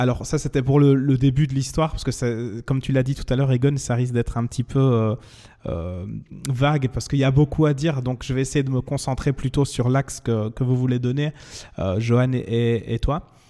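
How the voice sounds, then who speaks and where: Very clean, with a silent background, the recording holds a man's medium-pitched voice in a dark, mellow tone. He keeps a moderate pace and fairly even intonation. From Belgium, Wallonia (Liège area). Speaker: singer. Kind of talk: interview. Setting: in person with host.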